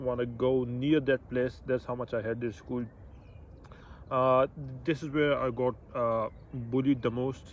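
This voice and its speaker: With a Pashto accent, a man speaks in a monotone, flat way, leaving long, frequent pauses. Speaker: vlogger. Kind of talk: personal testimony. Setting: outdoors. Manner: halting.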